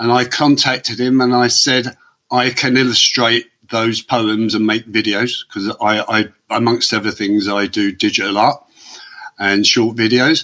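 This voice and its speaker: A man with an English accent, medium pitch, bright, sharp tone, fairly even intonation, and a fairly slow pace. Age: 60s. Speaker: former prisoner turned artist. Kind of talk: podcast interview.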